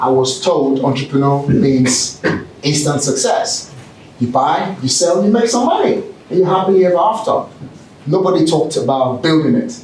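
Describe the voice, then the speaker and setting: With a British accent, a man of fairly high pitch speaks at a moderate pace in an animated tone with lively intonation, amid noticeable background noise and audible room echo. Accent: British with Nigerian roots. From Nigeria. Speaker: keynote speaker and entrepreneur. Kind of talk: motivational keynote speech. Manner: animated, engages audience with questions.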